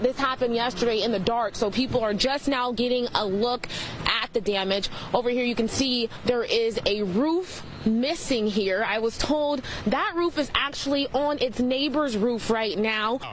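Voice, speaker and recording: At a moderate pace, a woman with an American accent talks in a high pitch with ordinary pitch variation over noticeable background noise. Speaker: TV news reporter. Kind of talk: TV news report.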